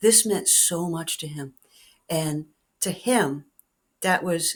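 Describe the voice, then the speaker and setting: A woman with a fairly low pitch on a very clean recording with a silent background. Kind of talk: personal storytelling to camera. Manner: reflective, emotional.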